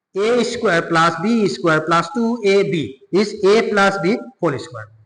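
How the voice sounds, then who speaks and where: A man with a high voice and ordinary pitch variation speaks fairly slowly. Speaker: maths teacher. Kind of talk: tutorial.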